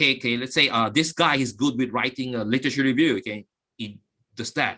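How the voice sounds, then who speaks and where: A man speaks at a very fast pace in a medium pitch. His tone is bright and sharp, with fairly even intonation. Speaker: academic guest speaker at a research webinar. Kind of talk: webinar lecture. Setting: online webinar. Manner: halting, many fillers.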